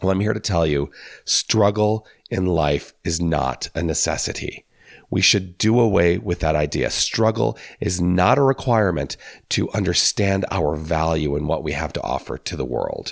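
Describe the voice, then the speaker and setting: Lively intonation at a moderate pace from a man whose very deep, low voice carries vocal fry. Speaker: minister. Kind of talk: spiritual talk.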